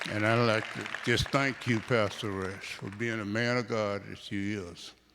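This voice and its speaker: Crowd noise fills the background as a man talks at a fairly low pitch. His delivery is monotone and flat, at a fairly slow pace. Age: 70s. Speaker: church member, grandparent. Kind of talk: testimony. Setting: church.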